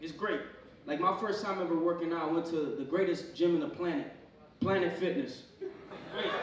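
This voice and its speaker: A man with an American accent, high-pitched, ordinary pitch variation, moderate pace, audible room echo and light background noise. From Pennsylvania, US. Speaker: stand-up comedian. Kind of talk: stand-up comedy set, crude and profane, riffing on roaches, gym advice and his girlfriend. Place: stage.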